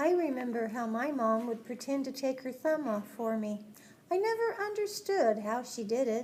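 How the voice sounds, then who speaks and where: At a moderate pace, a woman performs a put-on character voice with a high pitch. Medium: short film.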